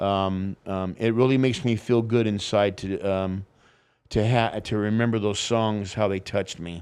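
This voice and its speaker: In a very clean recording with a silent background, a man with a plain, everyday voice speaks at a fairly low pitch, a moderate pace and fairly even intonation. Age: 60s. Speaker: former drummer. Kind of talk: casual interview. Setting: studio.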